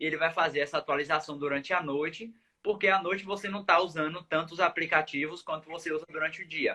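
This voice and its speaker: Talking at a very fast pace, a man has a bright, sharp tone, a fairly high pitch and fairly even intonation. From Bahia, Brazil. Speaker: sleep medicine doctor. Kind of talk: live stream Q&A interview. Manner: explanatory, many fillers.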